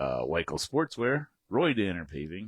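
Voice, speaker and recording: A man's fairly slow, vocal-fried delivery with very wide pitch swings, in a dry, close sound with no echo. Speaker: podcast co-host. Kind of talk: sponsor read on a casual talk show. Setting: studio.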